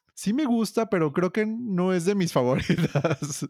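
On a very clean recording with a silent background, a man talks at a fairly quick pace in a high pitch. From Mexico. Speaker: podcast co-host, music fan. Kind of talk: casual chat.

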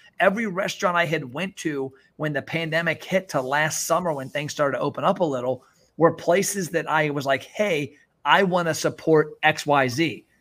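A man with a plain, everyday voice, fairly high pitch and ordinary pitch variation, on a very clean recording with a silent background. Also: moderate pace. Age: 40s. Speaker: restaurant marketing consultant. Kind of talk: interview.

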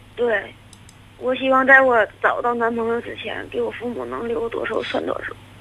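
Here a woman talks at a moderate pace, with audible room echo and noticeable background noise. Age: 30s. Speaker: caller. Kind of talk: phone-in confession. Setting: phone call.

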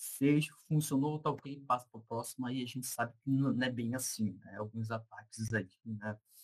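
A man talks at a moderate pace with hardly any pauses. His voice is somewhat breathy, with a medium pitch and fairly even intonation. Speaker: information security researcher. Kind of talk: casual interview chat.

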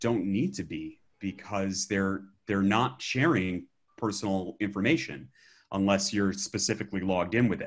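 A man with an unremarkable speaking voice, fairly low in pitch and with ordinary pitch variation, speaks against a quiet background. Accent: American. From Alabama, US South. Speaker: educator and app developer. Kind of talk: casual podcast interview.

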